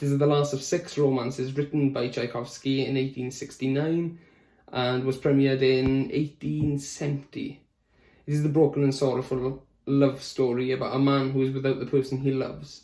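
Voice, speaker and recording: Flat and monotone, a man with a Welsh accent talks at a moderate pace in a dark, mellow tone. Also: medium pitch for a man. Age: young. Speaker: music student and tenor singer. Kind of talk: prepared self-introduction.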